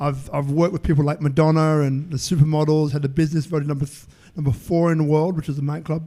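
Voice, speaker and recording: A man with a London accent talks at a very fast pace. His tone is dark and mellow. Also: fairly high pitch for a man. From London, England. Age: 50s. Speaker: entrepreneur and networker. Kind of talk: interview. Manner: animated.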